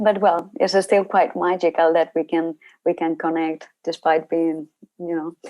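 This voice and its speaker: A woman with a Spanish accent speaks at a fairly slow pace in a monotone, flat way, her dark, mellow voice fairly low in pitch and the sound dry and close with no echo. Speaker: university researcher. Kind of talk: lecture. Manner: halting.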